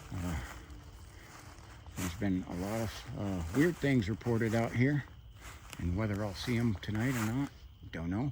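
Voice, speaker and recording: A soft-spoken man with an American accent talks at a fairly low pitch, somewhat breathy. His pitch varies in an ordinary way, broken by long, frequent pauses. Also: moderate pace. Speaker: hiking vlogger. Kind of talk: casual vlog narration while hiking. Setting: outdoors at night in the woods.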